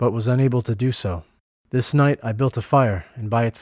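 Plain reading aloud, the background quiet.

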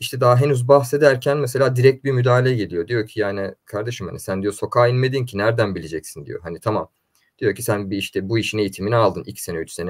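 A man rattles along at a very fast pace, his pitch varying in an ordinary way against a quiet background. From Istanbul, Turkey (Üsküdar); Turkey. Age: 20s. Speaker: neuromarketing and political consultant; guest. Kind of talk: interview. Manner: hesitant, many fillers. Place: home room.

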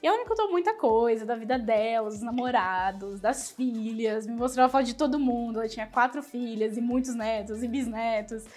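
A woman's fairly high voice at a moderate pace, with fairly even intonation and hardly any pauses. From Brazil. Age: 20s. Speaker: former exchange student. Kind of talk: testimony. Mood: warm, fond storytelling. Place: office. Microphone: lapel.

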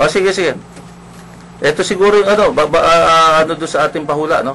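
A man with a high pitch and ordinary pitch variation, at a fairly quick pace over noticeable background noise. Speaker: radio talk show host. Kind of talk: casual talk radio discussion. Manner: halting, many fillers.

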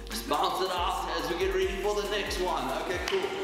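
A man at a moderate pace, with strong room echo and clear music in the background. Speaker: fitness instructor. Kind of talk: workout instruction and counting. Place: home room. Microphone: camera far.

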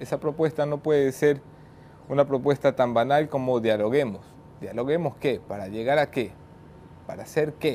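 Speaking at a moderate pace with long, frequent pauses, a man with a fairly high pitch and a dark, mellow tone is heard over light background noise. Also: ordinary pitch variation. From not from Guayaquil. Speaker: journalist and show host; news show host. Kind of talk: news monologue; interview. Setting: studio in Guayaquil.

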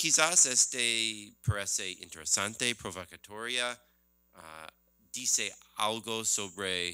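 Very slow speech in an English accent, bright and sharp, with ordinary pitch variation, long, frequent pauses and a quiet background. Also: man. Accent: non-native Spanish, English-speaking. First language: English (speaking Spanish). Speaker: economist and book author; presenter, panelist. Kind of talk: book presentation talk. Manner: halting with many fillers. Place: hall. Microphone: podium.

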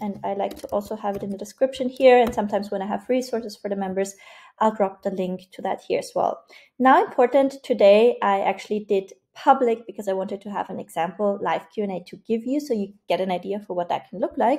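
Against a quiet background, a woman speaks fairly quickly in a dark, mellow tone with ordinary pitch variation. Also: big swings in loudness. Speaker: online community coach. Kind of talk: tutorial.

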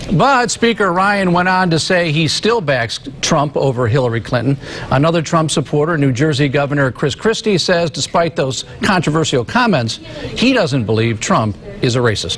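Speaking at a moderate pace with very even loudness, a man with a fairly high pitch makes very wide pitch swings over noticeable background noise. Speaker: news anchor. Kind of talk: news reading. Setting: studio.

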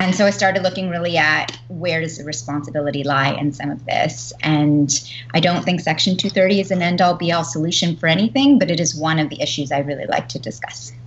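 A woman speaks in a very deep, low voice with ordinary pitch variation and hardly any pauses. Light background noise is present. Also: fairly quick pace. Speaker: panelist. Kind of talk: panel discussion introduction. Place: home room. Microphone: video call.

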